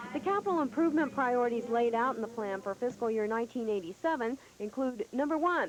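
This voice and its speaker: A woman's high-pitched voice with lively intonation at a fairly quick pace. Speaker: television news reporter. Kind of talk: TV news report voiceover. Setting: 1985 broadcast television recording.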